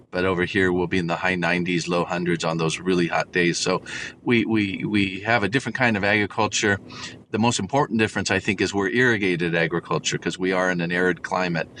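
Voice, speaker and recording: Over noticeable background noise, a man with a very deep, low voice talks at a very fast pace with fairly even intonation. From Southern California, Orange County. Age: 60s. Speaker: farmer. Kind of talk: interview. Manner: hesitant, many fillers.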